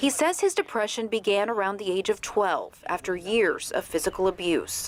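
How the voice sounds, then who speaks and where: Here is a woman with an ordinary speaking voice, fairly high in pitch, with ordinary pitch variation. She keeps a moderate pace and very even loudness. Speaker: TV news anchor and reporter. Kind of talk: TV news anchor and reporter delivery.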